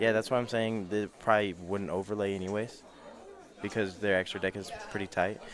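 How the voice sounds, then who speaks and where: Speaking in a fairly low pitch, a man keeps a monotone, flat intonation. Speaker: card game tournament commentator. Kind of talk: live commentary. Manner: loud.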